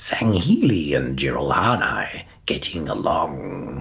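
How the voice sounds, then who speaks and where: A fairly slow, very deep and low put-on character voice from a man. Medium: read story. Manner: terse, blunt.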